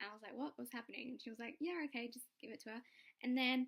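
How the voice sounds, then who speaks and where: An English accent with ordinary pitch variation. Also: woman. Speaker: vlogger. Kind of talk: casual vlog. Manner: casual, filler-heavy. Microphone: laptop mic, low quality.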